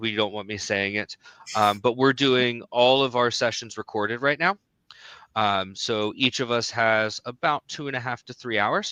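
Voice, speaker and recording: A man talks at a moderate pace and medium pitch with ordinary pitch variation. His tone is bright and sharp, and the sound is dry and close with no echo. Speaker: certification trainer. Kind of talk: live webinar chat. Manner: hesitant, many fillers.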